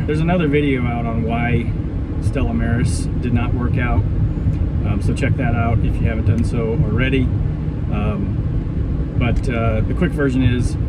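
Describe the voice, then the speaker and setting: At a moderate pace, a man talks while loud background noise fills the recording. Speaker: boat buyer vlogger. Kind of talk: casual vlog chat. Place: car. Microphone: phone near.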